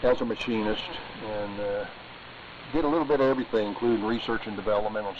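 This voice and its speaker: Noticeable background noise sits behind a man. He talks at a very fast pace with fairly even intonation. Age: 60s. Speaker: retired machinist, ham radio operator. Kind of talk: casual chat. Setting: amateur radio net. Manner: halting, many fillers.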